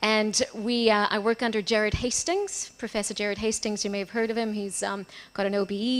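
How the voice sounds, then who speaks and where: The speaker talks at a fairly quick pace in a flat monotone, with hardly any pauses. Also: woman. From Portugal. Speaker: academic researcher. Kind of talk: conference presentation.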